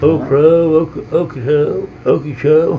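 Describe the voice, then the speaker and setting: With noticeable background noise around him, a man talks at a fairly high pitch. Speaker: island resident. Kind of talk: casual chat.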